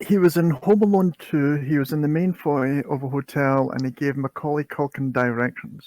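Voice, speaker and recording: A man with a Scottish accent speaks at a moderate pace with hardly any pauses, in a fairly high pitch with ordinary pitch variation. The sound is dry and close, with no echo. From Scotland. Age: 40s. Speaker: podcast guest. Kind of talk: casual chat.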